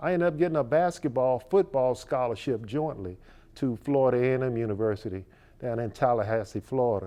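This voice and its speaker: With an American accent and a normal speaking voice, a man at medium pitch talks with lively intonation. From Virginia, Richmond. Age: 60s. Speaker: fishing charter captain. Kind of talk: interview.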